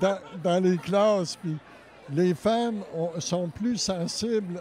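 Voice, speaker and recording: Amid noticeable background noise, a man talks very slowly at a high pitch with ordinary pitch variation. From Quebec City area. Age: 60s. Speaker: painter, former art teacher. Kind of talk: interview. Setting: event venue. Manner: halting.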